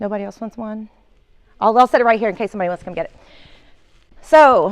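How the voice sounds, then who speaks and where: A woman speaks very fast in an Oklahoma accent, her pitch fairly high with ordinary variation. Her loudness swings widely. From northeastern Oklahoma. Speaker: communications executive giving training. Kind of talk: training presentation.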